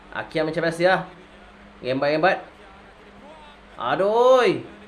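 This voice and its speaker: A man at a very slow pace with long, frequent pauses and lively intonation, amid noticeable background noise and audible room echo. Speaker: football reaction youtuber. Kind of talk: casual video reaction commentary. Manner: casual, chatty; animated.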